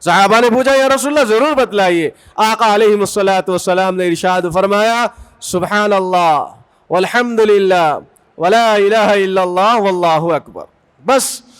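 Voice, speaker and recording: A high-pitched man's voice at very even loudness. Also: ordinary pitch variation. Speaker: Islamic preacher giving a bayan. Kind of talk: religious sermon (bayan) to a congregation.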